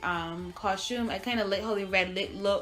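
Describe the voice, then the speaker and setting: A woman speaks at a fairly slow pace in a bright, sharp tone. Room echo is audible. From Barbados, moved to US at eight. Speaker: beauty vlogger. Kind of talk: makeup tutorial. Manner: casual, chatty.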